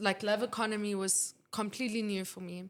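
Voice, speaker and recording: Speaking at a fairly quick pace, a woman uses an ordinary speaking voice, medium in pitch with fairly even intonation. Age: 20s. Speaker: student filmmaker and photographer. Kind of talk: casual interview chat.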